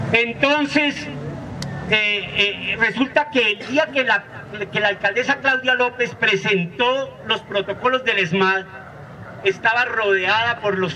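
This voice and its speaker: A raised, projected voice moves at a fairly slow pace with ordinary pitch variation over noticeable background noise. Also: man. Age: 60s. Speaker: teacher and social activist. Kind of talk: lecture. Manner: halting, with frequent repetitions.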